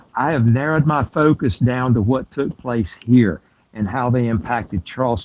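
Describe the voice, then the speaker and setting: With a South Carolina accent, a man speaks at a medium pitch and moderate pace, using ordinary pitch variation. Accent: South Carolina Southern US. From US South, South Carolina. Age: 70s. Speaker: tour guide. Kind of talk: interview. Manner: halting, with many fillers.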